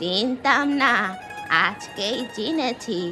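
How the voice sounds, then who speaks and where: Over clear music in the background, a woman uses a cartoonish character voice at a fairly high pitch with ordinary pitch variation. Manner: blunt, nosy.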